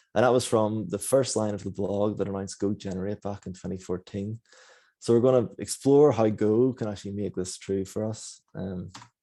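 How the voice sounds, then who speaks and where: The tone is dark and mellow. Delivery runs at a fairly quick pace with fairly even intonation. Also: man, fairly low pitch for a man. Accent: Northern Irish. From Northern Ireland, Belfast. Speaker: software engineer. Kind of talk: conference talk. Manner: fast.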